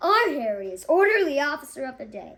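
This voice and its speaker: Using a put-on character voice, a woman talks at a fairly quick pace and a high pitch with very wide pitch swings. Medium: read story.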